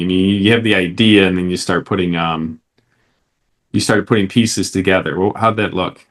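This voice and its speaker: A man with an American accent speaks at a moderate pace in an unremarkable speaking voice. His pitch is fairly low, with ordinary pitch variation. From Detroit area. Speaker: podcast host. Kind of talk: interview.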